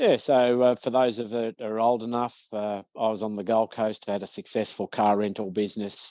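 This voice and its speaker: On a dry, close recording with no echo, a man with an Australian accent speaks at a moderate pace with hardly any pauses, his medium-pitched voice dark and mellow with monotone, flat intonation. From Australia (Victoria). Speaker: business owner, author and speaker. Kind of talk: podcast interview. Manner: hesitant, many fillers.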